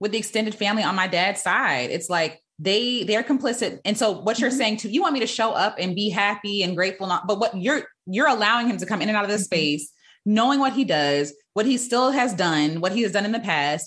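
The speaker has a normal speaking voice. Delivery is fairly quick with lively intonation. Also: woman, hardly any pauses. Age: 30s. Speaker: podcast host. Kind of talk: casual chat.

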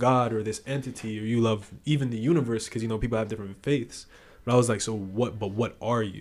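Talking at a very fast pace, a man with an American accent and medium pitch keeps fairly even intonation in a very clean recording with a silent background. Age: 20s. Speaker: musician. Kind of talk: casual chat.

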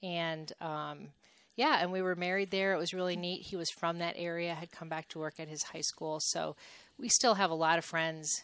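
In a very clean recording with a silent background, a woman with a plain, everyday voice speaks fairly quickly in a fairly low voice with fairly even intonation. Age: 50s. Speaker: university athletics administrator. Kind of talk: interview.

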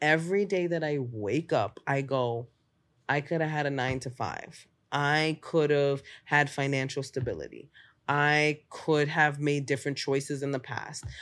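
A woman with a New York accent speaks at a fairly slow pace in a very deep, low pitch. Her intonation is fairly even, and the recording is very clean with a silent background. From Bronx, New York. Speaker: stand-up comedian. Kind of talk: casual chat. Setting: podcast interview.

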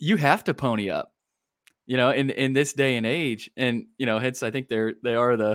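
In a very clean recording over a silent background, this man has an unremarkable speaking voice, a medium pitch, ordinary pitch variation and a moderate pace. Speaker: podcast co-host.

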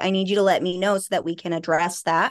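Very fast speech from a woman in an American accent. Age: 40s. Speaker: author and trauma recovery expert. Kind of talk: interview about personal abuse history.

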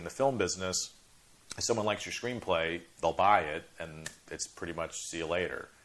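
Over noticeable background noise, a man with an American accent talks at a moderate pace in a very deep, low voice with ordinary pitch variation. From Chicago suburbs. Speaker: film producer. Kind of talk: interview. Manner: halting, repeats words.

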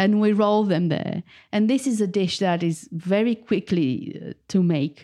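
Against a quiet background, a woman with a Romanian accent and a dark, mellow tone speaks at a fairly slow pace with ordinary pitch variation. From Romania, Bucharest. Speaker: food writer and cookbook author. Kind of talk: interview.

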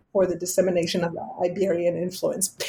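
Speaking with a French accent, a woman keeps a moderate pace in a dark, mellow tone. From France. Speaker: literature professor. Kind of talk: academic interview.

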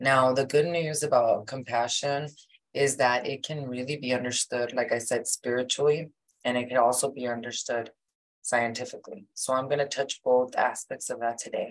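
The speaker has an American accent and a moderate pace. Intonation stays monotone and flat. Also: woman, very deep, low pitch for a woman. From Mexico, raised in the US. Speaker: podcast host, kundalini yoga teacher. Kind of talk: spiritual teaching monologue.

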